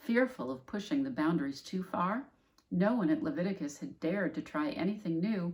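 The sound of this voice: Here we have an unforced reading voice. Lively intonation runs through it.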